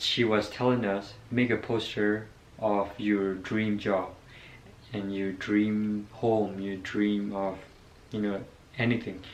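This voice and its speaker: A man with a non-native accent, fairly low in pitch, at a very slow pace with long, frequent pauses, monotone, flat intonation and audible room echo. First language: not English. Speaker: vlogger. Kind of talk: casual personal story. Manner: halting, many fillers.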